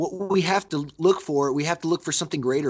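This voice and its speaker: A man with an unremarkable speaking voice and an American accent talks at a fairly quick pace with ordinary pitch variation. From split childhood between Brazil and the US. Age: 30s. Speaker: mixed martial arts fighter. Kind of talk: casual interview.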